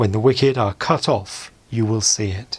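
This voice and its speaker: Somewhat breathy, a man talks at a fairly slow pace with ordinary pitch variation. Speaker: church service reader. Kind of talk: scripture reading.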